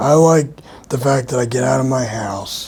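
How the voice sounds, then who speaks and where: A man with an American accent and ordinary pitch variation, with noticeable background noise and audible room echo. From Philadelphia, US Northeast. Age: 30s. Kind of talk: interview. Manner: halting.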